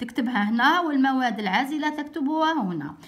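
A woman is speaking. Her pitch is high, with ordinary pitch variation. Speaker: teacher explaining an exam. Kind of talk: tutorial. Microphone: phone near.

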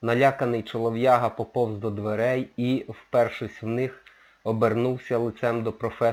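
The text is read in a natural voice.

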